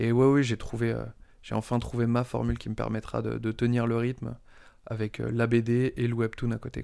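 The background is silent and the recording very clean. At a moderate speed, a man talks. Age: 30s. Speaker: comic book author. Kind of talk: interview. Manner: halting, many repetitions.

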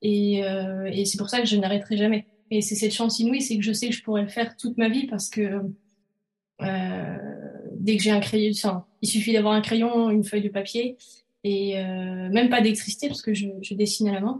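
The woman talks at a moderate pace with medium pitch and monotone, flat intonation. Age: 30s. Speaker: illustrator and entrepreneur. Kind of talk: interview conversation. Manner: hesitant, many fillers.

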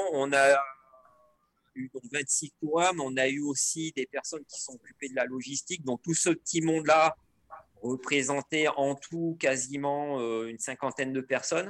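Recorded in a dry, close sound with no echo, a man speaks at a fairly slow pace. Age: 50s. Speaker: mountain professional and ultra trail runner. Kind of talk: casual interview. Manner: hesitant, many fillers.

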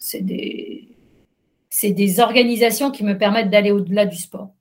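Speech moves at a fairly slow pace. The voice sounds somewhat breathy. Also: woman. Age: 50s. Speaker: journalist and trail runner. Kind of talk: interview. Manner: hesitant, many fillers.

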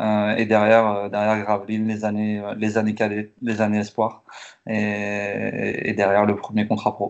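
Flat and monotone, a man with a fairly low pitch speaks at a fairly slow pace. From northern France, Lille area (Tourcoing). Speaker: professional basketball player. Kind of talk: casual interview. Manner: halting, repeats words.

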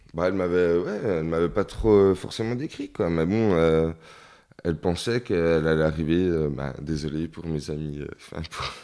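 A man's very deep, low voice with a dark, mellow tone, ordinary pitch variation and a fairly slow pace. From rural France, small village. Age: 30s. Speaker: interviewee. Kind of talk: casual interview. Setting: at his home.

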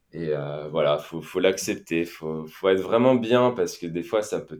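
A man's very deep, low voice at a moderate pace, with ordinary pitch variation, in a very clean recording with a silent background. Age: 30s. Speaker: financial independence podcaster, former engineer. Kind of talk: casual interview.

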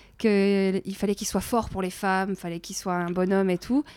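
At a moderate pace, a woman with medium pitch talks in a monotone with flat intonation, the sound dry and close with no echo. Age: 30s. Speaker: podcast host. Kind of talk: casual chat.

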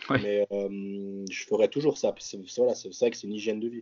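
Talking at a fairly quick pace, a man with an unremarkable speaking voice keeps a fairly even intonation. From French-speaking Switzerland, near Geneva. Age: 20s. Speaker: professional bodybuilder. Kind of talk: casual chat.

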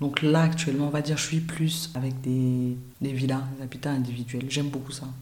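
Noticeable noise sits in the background. The speaker moves at a fairly quick pace. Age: 30s. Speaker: architect. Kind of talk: interview.

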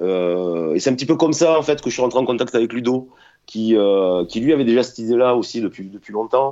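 A man with an unremarkable speaking voice talks at a fairly quick pace in a medium pitch. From Toulon, southern France. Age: 40s. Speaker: guitarist. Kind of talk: interview.

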